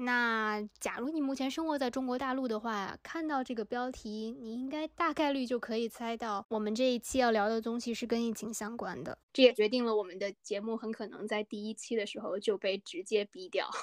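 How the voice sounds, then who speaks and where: Hardly pausing, a woman talks at a fairly quick pace in a fairly high voice with ordinary pitch variation, recorded very cleanly with a silent background and a dry, close sound with no echo. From northern China. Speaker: podcast co-host. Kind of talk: casual chat.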